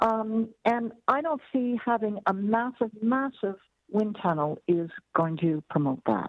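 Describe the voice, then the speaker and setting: A woman speaks. Her intonation is lively. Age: 60s. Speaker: family physician giving public deputation. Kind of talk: public meeting deputation. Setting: video conference. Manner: halting, many fillers.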